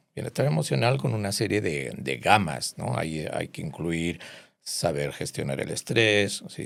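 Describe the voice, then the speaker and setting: Very deep and low, a man's voice carries vocal fry and very wide pitch swings at a fairly slow pace. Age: 60s. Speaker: psychiatrist. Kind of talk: interview. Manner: hesitant, many fillers.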